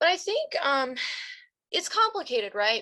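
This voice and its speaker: A woman speaks loudly at a moderate pace, her tone bright and sharp. Her pitch swings very widely against a quiet background. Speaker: philosophy lecturer. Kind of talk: Q&A discussion. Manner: thinking out loud, hesitant.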